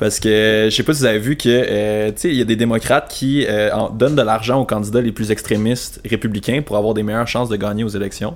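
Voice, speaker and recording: With a plain, everyday voice, a man of medium pitch talks at a fairly quick pace with fairly even intonation and hardly any pauses. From Quebec, Sherbrooke. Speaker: international affairs professional. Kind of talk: casual chat.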